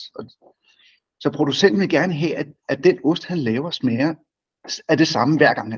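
A man's somewhat breathy, fairly high voice at a moderate pace, with big swings in loudness, long and frequent pauses, and ordinary pitch variation. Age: 50s. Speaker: company chief executive. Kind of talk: business interview.

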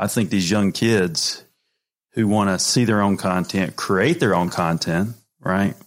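Recorded very cleanly with a silent background, a man has an ordinary speaking voice, fairly low in pitch with ordinary variation. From North Carolina, US South. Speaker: podcast host, former college baseball player. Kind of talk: casual chat interview.

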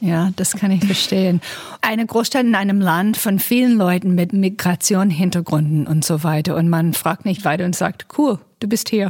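In an English accent, a woman speaks at a medium pitch, somewhat breathy, with ordinary pitch variation. Her loudness stays very even. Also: moderate pace. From United States. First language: English (speaking German). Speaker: diplomat, podcast host. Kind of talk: interview.

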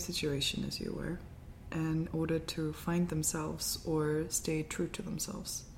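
Speaking at a moderate pace, this woman has an unremarkable speaking voice pitched fairly low. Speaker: podcast host. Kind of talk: casual conversation interview.

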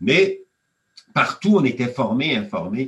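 A man is speaking. His pitch swings very widely. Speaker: economics professor. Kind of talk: interview. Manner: halting.

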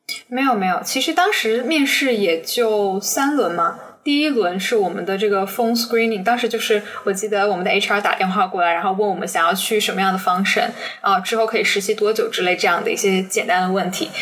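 A woman talks at a fairly quick pace in a medium pitch with ordinary pitch variation. Noticeable background noise sits behind her. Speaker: business graduate student, former intern. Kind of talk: interview. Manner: fast.

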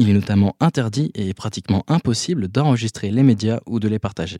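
In a very clean recording with a silent background and a dry, close sound with no echo, a man with a fairly low pitch and a dark, mellow tone speaks at a moderate pace with ordinary pitch variation. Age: 20s. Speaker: communication student. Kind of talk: scripted narration. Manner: formal.

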